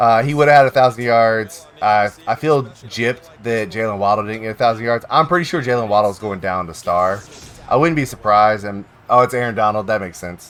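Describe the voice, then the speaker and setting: Medium-pitched male voice at a fairly quick pace, with ordinary pitch variation, big swings in loudness and noticeable background noise. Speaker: live streamer. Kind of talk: casual chat. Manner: animated.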